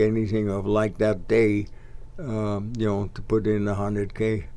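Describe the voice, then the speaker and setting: There is audible room echo as a man speaks at a fairly slow pace in a fairly low pitch. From Netherlands. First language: Dutch. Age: 80s+. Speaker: local sports organizer. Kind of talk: casual interview. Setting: studio.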